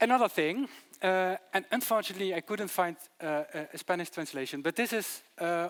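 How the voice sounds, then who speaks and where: A high-pitched man with a Dutch accent at a fairly quick pace, in a very clean recording with a silent background and a dry, close sound with no echo. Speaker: city archivist. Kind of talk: conference presentation. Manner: fast.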